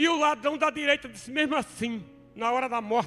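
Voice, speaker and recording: Over music in the background, the voice is raised and projected. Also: man. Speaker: preacher. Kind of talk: sermon.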